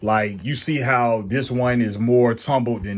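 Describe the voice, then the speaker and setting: This man's voice sits at a medium pitch with ordinary pitch variation. He talks at a fairly slow pace. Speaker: sneaker reviewer. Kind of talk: product review. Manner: loud; casual.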